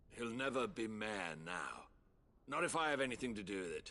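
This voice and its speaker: A man with a medium pitch does a raspy, put-on character voice at a moderate pace. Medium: video game. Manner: curt, spiteful.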